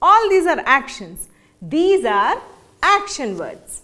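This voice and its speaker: A woman speaks with very wide pitch swings. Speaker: teacher. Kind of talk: classroom lesson. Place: classroom.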